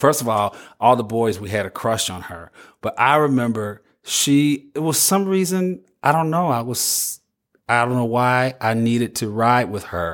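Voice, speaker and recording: Over a silent background in a very clean recording, a man with an ordinary speaking voice and medium pitch talks at a moderate pace with lively intonation. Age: 50s. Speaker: podcast host. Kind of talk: solo podcast monologue.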